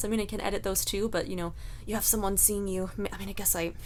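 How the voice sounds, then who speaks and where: This woman's tone is animated. The intonation rises and falls in a lively way. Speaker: vlogger and coach. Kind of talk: casual vlog monologue.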